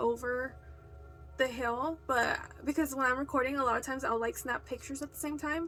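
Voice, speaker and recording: Music plays behind a very fast speaker. The intonation stays flat and monotone. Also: woman. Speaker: video blogger. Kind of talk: casual story time monologue.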